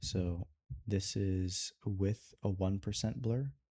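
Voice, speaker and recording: A man with a fairly low voice speaks in a dark, mellow, somewhat breathy tone. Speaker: video creator and animator vlogger. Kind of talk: casual vlog tutorial. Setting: alone in his room at night. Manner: soft-spoken, quiet.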